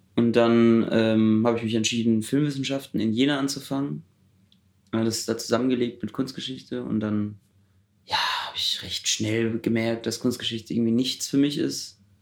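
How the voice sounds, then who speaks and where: Here a man uses a normal speaking voice at a medium pitch, keeping a moderate pace and ordinary pitch variation. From Germany, Heidelberg. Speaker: student filmmaker. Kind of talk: casual interview.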